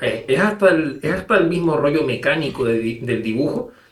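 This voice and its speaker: With lively intonation and a somewhat breathy quality, a man talks at a moderate speed. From Canary Islands, Spain. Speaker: illustrator. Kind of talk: interview. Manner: halting, many repetitions.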